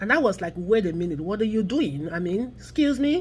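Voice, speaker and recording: An animated, somewhat breathy woman with an American accent, very wide pitch swings, and a very clean recording with a silent background. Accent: Nigerian accent, noticeable to US listeners. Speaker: vlogger on immigrant and race issues. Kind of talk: opinion vlog monologue.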